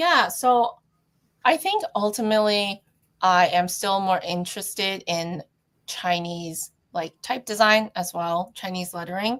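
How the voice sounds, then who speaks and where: Her pitch medium with ordinary variation, a woman speaks at a fairly slow pace. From Canada, Toronto. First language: Cantonese. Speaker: calligraphy and neon artist. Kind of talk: interview conversation.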